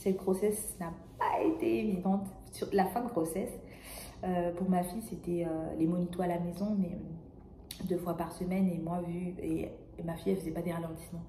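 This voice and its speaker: Soft-spoken, with fairly even intonation and long, frequent pauses at a moderate pace, the voice comes through noticeable background noise and audible room echo. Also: woman, fairly low pitch for a woman. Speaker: vlogger. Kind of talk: casual vlog monologue. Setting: hospital room. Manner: hesitant, many fillers. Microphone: may be too quiet.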